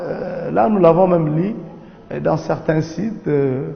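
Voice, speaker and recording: A man with a non-native accent talks at a high pitch with lively intonation. Audible room echo and noticeable background noise surround his voice. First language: not French (speaking French). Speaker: imam. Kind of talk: religious lecture. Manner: halting, many hesitations.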